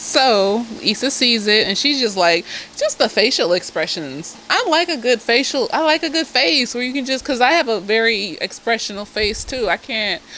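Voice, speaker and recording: A woman's raised, projected voice, high in pitch, at a moderate pace amid noticeable background noise. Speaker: therapist reviewing a TV show. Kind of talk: casual tipsy TV episode review. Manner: animated, profane.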